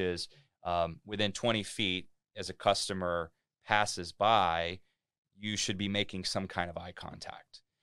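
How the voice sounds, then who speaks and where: Over a very clean recording with a silent background, a man with an American accent speaks in a very deep, low pitch, his tone bright and sharp and his intonation fairly even. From US Midwest, Cincinnati, Ohio. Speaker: hotel executive and author. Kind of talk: interview. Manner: halting, many fillers and repeats.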